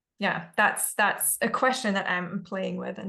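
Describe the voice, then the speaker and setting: Bright and sharp in tone, a woman's medium-pitched voice carries vocal fry. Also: quiet background. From Germany. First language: German. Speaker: spiritual discussion panelist. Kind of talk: casual chat. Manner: reflective, halting.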